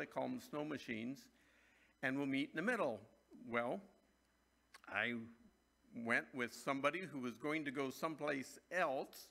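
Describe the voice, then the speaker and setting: A man speaks at a moderate pace with a bright, sharp tone. His pitch varies in an ordinary way, and he takes long, frequent pauses. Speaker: pastor. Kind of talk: sermon. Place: church. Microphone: podium.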